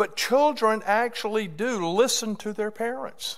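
The background stays quiet. A man talks, and his pace is very slow. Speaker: preacher. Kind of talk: sermon. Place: hall. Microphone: podium.

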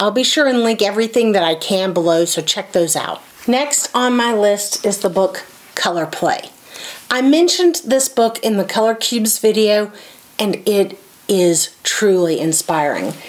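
A woman with an American accent talks at a moderate pace and medium pitch, her intonation lively. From US South. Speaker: quilting YouTuber. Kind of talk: casual book review monologue. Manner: animated. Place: home room.

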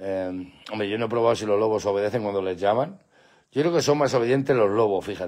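A man speaks at a very fast pace in a fairly low voice, with ordinary pitch variation over a quiet background. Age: 50s. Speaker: pet channel host. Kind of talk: live stream chat. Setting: at home with dogs at night. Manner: animated. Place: garden. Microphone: phone near.

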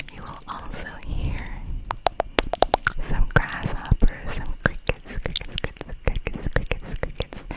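Whispering, a woman is soft-spoken at a very slow pace. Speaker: ASMR creator. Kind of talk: ASMR whisper with repetitive trigger words. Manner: soft close-mic ASMR whisper. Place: home room. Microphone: studio mic.

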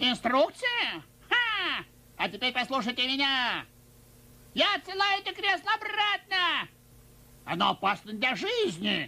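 Using a cartoonish character voice, the speaker talks at high pitch with very wide pitch swings, a moderate pace, and long, frequent pauses. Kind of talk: Russian cartoon dubbing. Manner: chatty, exasperated, comic.

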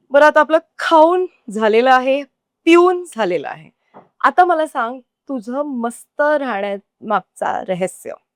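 This woman's voice is high and swings very widely in pitch. The sound is dry and close, with no echo. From Goa. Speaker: food show host. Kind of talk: casual chat. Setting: restaurant.

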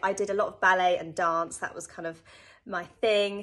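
Against a quiet background, a woman speaks with a British accent. Her tone is bright and sharp, and her pace fairly quick. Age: 20s. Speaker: personal trainer. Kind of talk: testimony. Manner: casual, conversational. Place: home room. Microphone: phone near.

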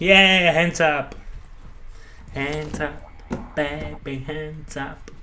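Amid light background noise, a man with a fairly high pitch speaks at a very slow pace with long, frequent pauses. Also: fairly even intonation. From Slovakia. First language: Slovak. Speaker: gamer YouTuber. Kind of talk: gameplay commentary; gaming commentary. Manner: casual, profane, halting English. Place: home room. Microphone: studio mic.

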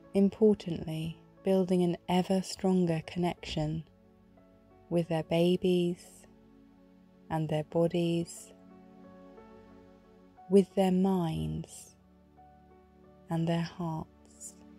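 A woman's fairly low voice, monotone and flat, at a very slow pace with long, frequent pauses, dry and close with no echo, music in the background. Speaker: meditation guide. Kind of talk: guided meditation. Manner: slow, soft-spoken, reassuring.

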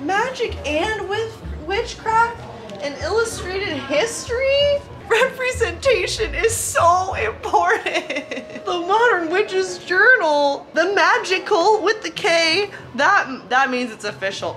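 A woman puts on a character voice at an extremely high pitch, speaking at a fairly slow pace over clear background noise. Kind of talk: parody vlog talk to camera. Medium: sketch comedy. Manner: upbeat.

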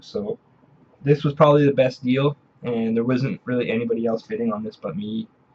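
Light background noise behind a man's somewhat breathy voice with ordinary pitch variation. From Canada. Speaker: video game collector and video creator. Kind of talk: casual show-and-tell haul video. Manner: hesitant, many filler sounds. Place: home room. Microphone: webcam.

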